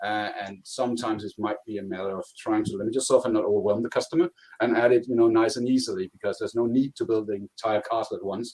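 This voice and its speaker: In a Danish accent, a man with a medium-pitched voice races along at a very fast pace with hardly any pauses and a fairly even intonation. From Denmark. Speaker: cloud contact center consultant. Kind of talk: technical presentation.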